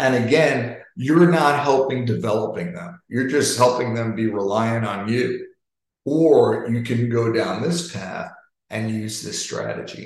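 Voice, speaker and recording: A man talks fairly slowly in an American accent, his voice somewhat breathy. His intonation is lively, and room echo is audible. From New York. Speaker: sales leadership coach. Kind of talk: interactive webinar talk.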